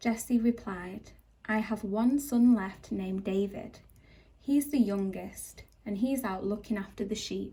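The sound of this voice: An unforced reading voice carries this recording.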